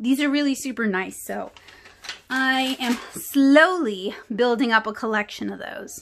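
Over light background noise, a woman with a high pitch talks at a fairly slow pace with ordinary pitch variation. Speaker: art channel host. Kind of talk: product haul review. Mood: enthusiastic, relaxed.

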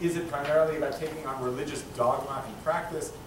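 A man's voice with ordinary pitch variation, noticeable background noise and audible room echo. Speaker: rabbi and teacher moderating a public talk. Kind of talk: moderated public conversation. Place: hall. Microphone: camera far.

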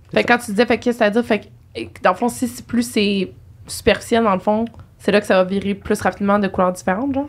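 A woman talks at a very fast pace with ordinary pitch variation. Vocal fry runs through her voice. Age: 20s. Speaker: podcast host. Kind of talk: casual interview chat. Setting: studio. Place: studio. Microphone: studio mic.

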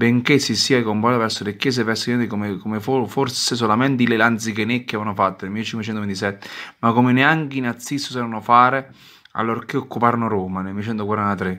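A man's medium-pitched voice at a fairly quick pace, with fairly even intonation and a very clean recording against a silent background. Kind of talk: sermon-like reading and commentary of a religious article, with prayers. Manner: fervent, indignant, declamatory; halting, repeating words.

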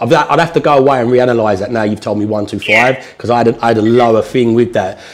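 A man speaks at a very fast pace with a southern English accent. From southern England. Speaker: property investor and trainer. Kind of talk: tutorial / training session with live call. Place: meeting room.

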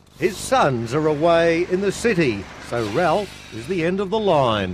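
Speaking at a fairly slow pace, a man with a high voice swings his pitch very widely as music plays behind him. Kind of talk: TV documentary narration.

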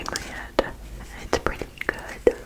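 A woman whispers, soft-spoken and breathy. She goes at a fairly slow pace. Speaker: hobby creator. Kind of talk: casual vlog chat. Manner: soft ASMR whisper, close and breathy. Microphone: phone near.

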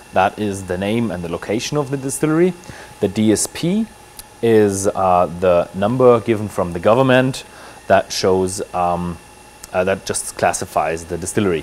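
A man with a normal speaking voice talks at a moderate pace. His pitch is fairly low. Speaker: presenter. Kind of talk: tour commentary. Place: factory.

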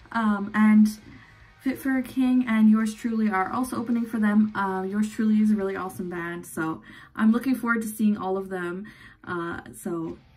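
With faint music in the background, a woman speaks with ordinary pitch variation. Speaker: beauty vlogger. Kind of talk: makeup tutorial chat. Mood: relaxed, cheerful. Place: home room. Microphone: phone near.

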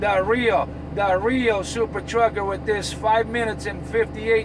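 Over clear background noise, a man speaks at a fairly slow pace with a high pitch and fairly even intonation.

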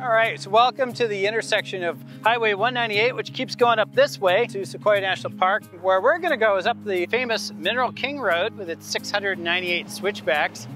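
Over clear music in the background, a man speaks in a raised, projected voice at a fairly quick pace. He leaves hardly any pauses, and the sound is dry with no echo. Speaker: geologist guide. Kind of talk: explanatory field commentary. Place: open country. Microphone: lapel.

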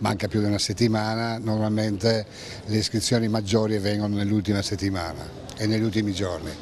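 Light background noise around a man's dry, echo-free voice. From Trieste, northeastern Italy. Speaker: chamber of commerce representative. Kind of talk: interview. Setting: outdoors at event village. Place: tent. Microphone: handheld.

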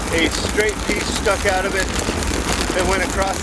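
Speech comes at a moderate pace over loud background noise. The sound is dry, with no echo. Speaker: bike commuter vlogger. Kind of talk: casual vlog chat. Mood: relaxed storytelling. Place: bicycle.

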